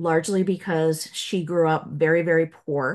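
Over a quiet background, a woman with a normal speaking voice talks at a fairly low pitch with fairly even intonation. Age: 50s. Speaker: business consultant, former lawyer. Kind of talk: casual interview.

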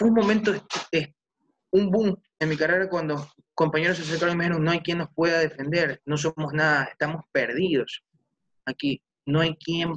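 Fairly even intonation broken by long, frequent pauses. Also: man. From Ecuador, Manabí. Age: 20s. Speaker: young political candidate. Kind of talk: interview.

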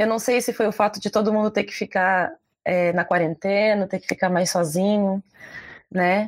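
A woman's normal speaking voice at medium pitch, with fairly even intonation and a moderate pace, dry and close with no echo, on a very clean recording with a silent background. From southern Brazil, Porto Alegre. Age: 20s. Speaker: writer and poet. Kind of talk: casual chat.

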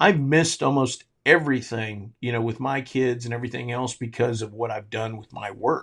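A man with an American accent and an ordinary speaking voice talks at a moderate pace with hardly any pauses, his medium pitch and fairly even intonation marked by big swings in loudness. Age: 50s. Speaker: charcoal company owner and barbecue competition cook. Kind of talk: casual interview.

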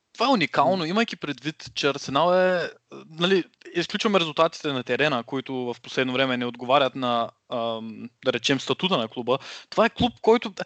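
The sound is dry and close with no echo, over a quiet background. A man with a fairly high pitch speaks with lively intonation. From Bulgaria, Shumen region. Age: 20s. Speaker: podcast host, linguistics student. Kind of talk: casual chat. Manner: halting.

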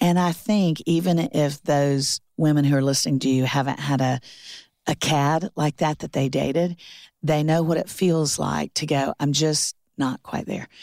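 A woman with an American accent, very deep, low pitch and a dark, mellow tone, at a moderate pace with ordinary pitch variation, in a dry, close sound with no echo on a very clean recording with a silent background. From Florida. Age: 50s. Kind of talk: casual chat.

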